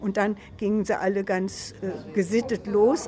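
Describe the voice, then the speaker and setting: Noticeable background noise beneath a woman's fairly high-pitched speech. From Hameln, Lower Saxony, northern Germany. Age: 80s. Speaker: senior amateur dancer interviewee. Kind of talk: interview, reminiscing.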